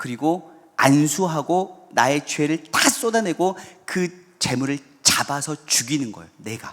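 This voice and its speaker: With lively intonation and big swings in loudness, a man speaks at a fairly high pitch. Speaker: pastor. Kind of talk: sermon. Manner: fast.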